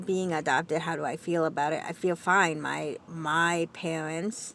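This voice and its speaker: At a very slow pace, a woman speaks in a fairly low pitch. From US, raised in Florida, Texas and Minnesota. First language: Spanish. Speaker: vlogger. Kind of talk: personal talk to camera. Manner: halting, many fillers and restarts.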